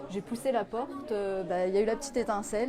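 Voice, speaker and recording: Noticeable background noise sits behind this recording. A woman speaks at a fairly high pitch with lively intonation. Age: 30s. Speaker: apprentice optician, former nurse. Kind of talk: interview.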